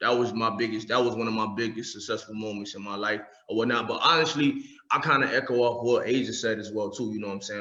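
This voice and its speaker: A man speaks at a fairly quick pace with a New York accent. His pitch is medium, and there is audible room echo. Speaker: poet / spoken word artist. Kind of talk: casual chat.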